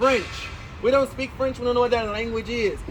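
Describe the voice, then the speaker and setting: Noticeable background noise runs behind a man's voice. His tone is animated and his pitch extremely high. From Louisiana, New Orleans. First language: Louisiana Creole. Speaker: tour guide. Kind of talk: guided walking tour talk.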